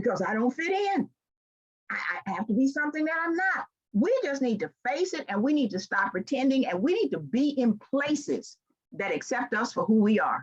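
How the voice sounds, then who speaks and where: With an American accent, a woman talks at a fairly quick pace. Her high voice swings very widely in pitch. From US South, Memphis, Tennessee. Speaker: leadership trainer and speaker. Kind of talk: motivational keynote speech. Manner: animated.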